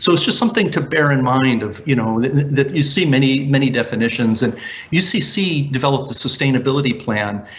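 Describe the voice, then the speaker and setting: A man speaks at medium pitch with ordinary pitch variation. His pace is very fast, with light background noise. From United States. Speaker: university sustainability academic; lecturer. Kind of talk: conference presentation. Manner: hesitant with fillers and restarts. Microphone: webcam.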